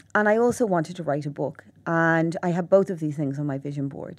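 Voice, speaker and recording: Against a quiet background, a woman with a Dublin accent speaks at a moderate pace in a very deep, low pitch. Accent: Irish (Dublin). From Ireland. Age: 40s. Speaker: psychotherapist and author. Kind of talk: interview. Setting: studio.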